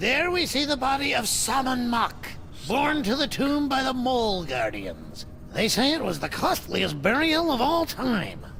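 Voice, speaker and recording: Putting on a character voice pitched extremely high, a man talks at a moderate pace against clear background noise. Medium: video game.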